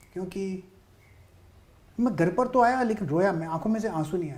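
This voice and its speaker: At a moderate pace, a man speaks. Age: 60s. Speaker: stock market trader. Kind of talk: interview testimony.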